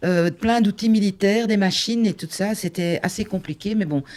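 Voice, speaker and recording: A woman's dark, mellow voice moves at a moderate pace, with pitch varying in an ordinary way. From Flanders, Belgium (Limburg). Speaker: conference interpreter, election candidate. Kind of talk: interview.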